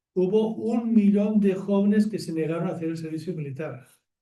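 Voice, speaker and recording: Audible room echo surrounds a man with a high pitch. He talks at a moderate pace with ordinary pitch variation. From Catalonia, Barcelona. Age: 70s. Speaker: nonviolence activist. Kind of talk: public talk. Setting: theatre with audience. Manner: conversational with fillers and restarts.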